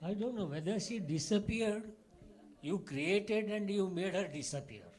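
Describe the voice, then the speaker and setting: Audible room echo surrounds a man's high pitch with ordinary pitch variation. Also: moderate pace. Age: 70s. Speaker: academic speaker at a conference. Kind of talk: conference plenary remarks. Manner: halting with many fillers.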